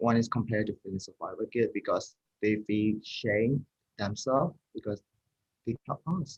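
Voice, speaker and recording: In a Burmese accent, a man speaks at medium pitch and a moderate pace with ordinary pitch variation, the sound dry and close with no echo. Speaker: mental health helpline founder. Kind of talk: interview. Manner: halting.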